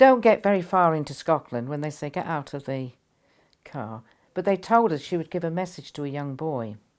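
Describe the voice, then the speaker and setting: A woman speaks at a fairly quick pace in a very deep, low pitch, with very wide pitch swings. The recording is very clean, with a silent background. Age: 80s+. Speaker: spiritual teacher. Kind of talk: storytelling. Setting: interview.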